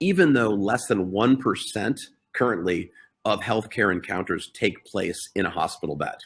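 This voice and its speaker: An unremarkable speaking voice with lively intonation at a moderate pace. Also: man, fairly low pitch for a man. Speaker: healthcare technology entrepreneur. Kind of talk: webinar presentation.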